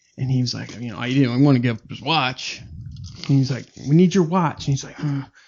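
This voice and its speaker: The speaker talks at a fairly quick pace. The delivery is soft-spoken. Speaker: podcast host. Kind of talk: casual chat.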